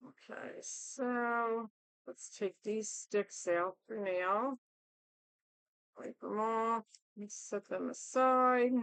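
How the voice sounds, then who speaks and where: Soft-spoken and fairly high-pitched, a woman talks at a very slow pace with long, frequent pauses, fairly even intonation and big swings in loudness, in a dry, close recording with no echo. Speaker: resin crafter. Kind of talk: tutorial. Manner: hesitant with fillers.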